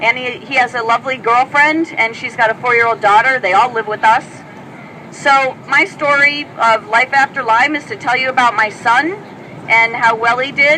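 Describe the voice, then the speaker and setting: Talking at a moderate pace, a high-pitched woman shows ordinary pitch variation amid noticeable background noise. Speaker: speaker at an advocacy event. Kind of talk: public speech. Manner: animated.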